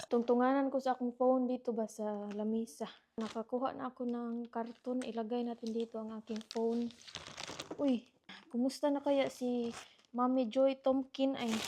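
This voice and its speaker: A soft-spoken woman at a high pitch, with flat, monotone intonation and a moderate pace. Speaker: vlogger. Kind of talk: casual vlog chat. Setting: at home, partner sleeping. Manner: soft-spoken, lowered voice.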